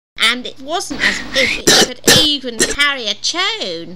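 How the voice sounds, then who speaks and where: A cartoonish character voice sounds female. It moves at a fairly slow pace. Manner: chatty, encouraging.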